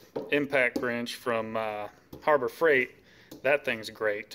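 A man's bright, sharp tone with fairly even intonation against noticeable background noise. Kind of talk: casual show-and-tell vlog. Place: garage. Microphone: phone near.

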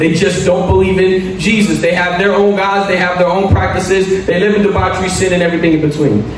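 Light background noise and audible room echo surround a man talking at a fairly quick pace. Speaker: pastor. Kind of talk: sermon. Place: church. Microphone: podium.

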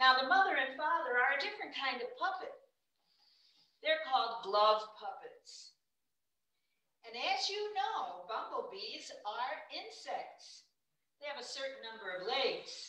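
At a fairly slow pace, a woman uses a raised, projected voice with a high pitch, a bright, sharp tone, very wide pitch swings, big swings in loudness, and long, frequent pauses. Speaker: puppeteer. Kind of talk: children's puppetry presentation. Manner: friendly, teacherly.

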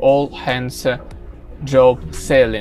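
Over faint music in the background, a man talks at a very slow pace. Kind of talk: casual vlog chat. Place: boat. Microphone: phone near.

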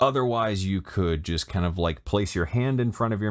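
Recorded very cleanly over a silent background, a man speaks at a moderate pace in a low pitch with ordinary pitch variation.

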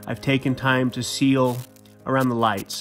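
A man talks at a moderate pace with music in the background. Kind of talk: explanatory DIY narration.

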